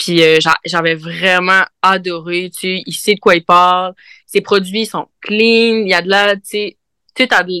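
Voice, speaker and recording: At a medium pitch and a very slow pace, a woman speaks in a bright, sharp, monotone, flat voice, the sound dry and close with no echo. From Quebec, Côte-Nord (Havre-Saint-Pierre). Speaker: brewer. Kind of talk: casual interview.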